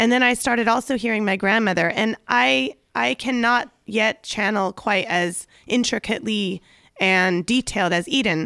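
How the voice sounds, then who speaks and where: A woman with a slight Southern California accent speaks at a moderate pace in a fairly high voice, her intonation lively and her loudness very even, with vocal fry on a very clean recording over a silent background and a dry, close sound with no echo. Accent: slight Valley Girl. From US, San Fernando Valley, California. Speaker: podcast host and life coach. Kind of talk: casual chat.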